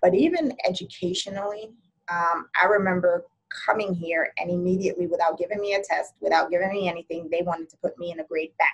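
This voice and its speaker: A woman with a fairly low voice talks at a very fast pace in an American accent, her intonation fairly even and her loudness swinging widely. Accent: can switch Jamaican accent on and off. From Jamaica, then New York from age nine. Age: 40s. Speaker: podcast guest. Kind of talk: interview conversation.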